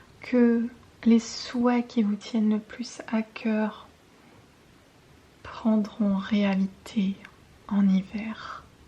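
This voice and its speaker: A woman's calm tone, fairly high and monotone, flat, at a very slow pace over noticeable background noise. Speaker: intuitive guidance reader and ASMR creator. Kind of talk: ASMR guidance reading. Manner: soft, calm, relaxing.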